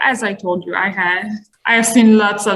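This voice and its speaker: A woman with a slight non-native accent and fairly even intonation. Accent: slight foreign. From Iran. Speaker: immigrant interviewee. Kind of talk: interview.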